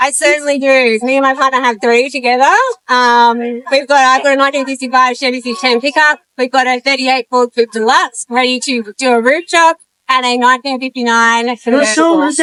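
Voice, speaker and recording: A bright, sharp, raised and projected voice at a fairly quick pace, with fairly even intonation and a dry, close sound with no echo. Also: woman, high pitch for a woman. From Arizona, US. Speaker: pin-up enthusiast. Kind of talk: casual interview.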